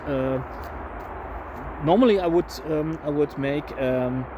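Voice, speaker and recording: Mumbling at a fairly slow pace, a man speaks in a fairly high voice over noticeable background noise. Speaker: woodcarving video creator. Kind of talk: tutorial. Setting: outdoors in autumn woods. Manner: mumbling to himself, hesitant with many fillers.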